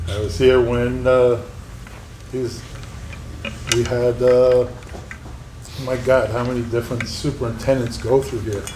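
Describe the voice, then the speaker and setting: A man speaks at a moderate pace amid noticeable background noise and audible room echo. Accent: American. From northern New Jersey. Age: 60s. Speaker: school district employee speaking at public comment. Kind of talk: public comment at board meeting. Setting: school board meeting.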